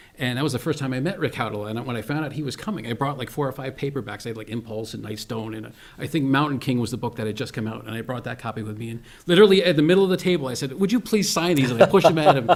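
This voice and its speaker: At a very fast pace with hardly any pauses, a man with an American accent talks at a medium pitch, his loudness swinging widely. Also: lively intonation. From Albany, New York. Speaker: horror writer. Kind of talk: casual interview chat.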